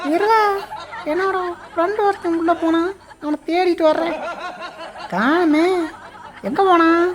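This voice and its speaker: The pitch is extremely high in this put-on character voice. Its pace is fairly slow. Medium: voice reel. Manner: rough, demanding.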